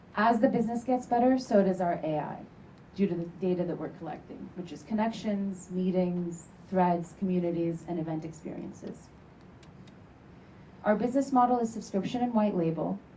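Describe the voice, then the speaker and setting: A woman's medium-pitched voice at a moderate pace, ordinary pitch variation, and audible room echo. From Turkey. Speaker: startup founder. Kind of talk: sales pitch.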